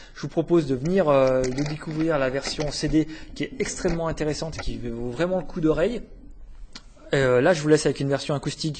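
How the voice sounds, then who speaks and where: A somewhat breathy man's voice at a fairly quick pace. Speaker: library podcast host. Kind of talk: podcast review segment. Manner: hesitant, many fillers.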